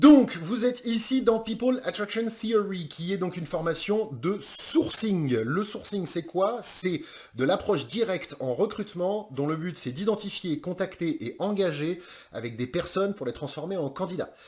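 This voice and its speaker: A man's high voice with very wide pitch swings. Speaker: online course trainer in recruitment sourcing. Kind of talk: course introduction. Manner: fast; casual, with many hesitations.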